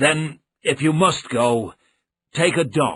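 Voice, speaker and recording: This put-on character voice is raspy and very slow, with ordinary pitch variation. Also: man. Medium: read story. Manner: blunt, grave.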